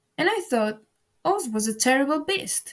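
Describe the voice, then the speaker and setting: Putting on a character voice, a woman speaks high in pitch at a moderate pace, with very wide pitch swings. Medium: read story.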